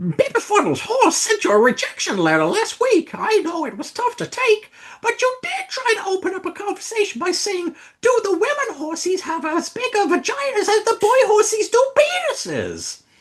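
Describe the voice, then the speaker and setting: In a put-on character voice, the speaker sounds squeaky and extremely high-pitched, moving at a moderate pace. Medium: read story.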